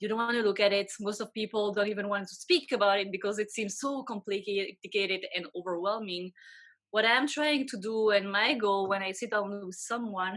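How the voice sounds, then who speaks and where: The speaker has a French accent and holds a moderate pace. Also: woman, medium pitch for a woman, fairly even intonation. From Belgium. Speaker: financial advisor. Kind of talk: interview. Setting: video call.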